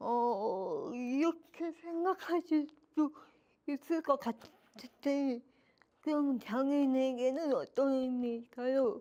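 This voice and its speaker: Speaking at a very slow pace, a woman with a high pitch and a dark, mellow tone keeps her loudness very even, with ordinary pitch variation. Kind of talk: lecture presentation. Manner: partly delivered through AAC device voice.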